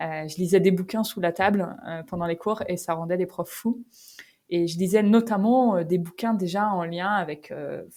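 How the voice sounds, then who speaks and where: Her tone dark and mellow, a woman speaks at a medium pitch and a fairly slow pace with fairly even intonation. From northern France, Picardy (Creil). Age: 30s. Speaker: company founder. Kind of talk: podcast interview. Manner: casual, hesitant with many fillers.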